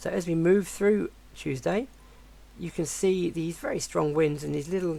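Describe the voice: Delivered at a moderate pace, the voice sounds croaky and has vocal fry.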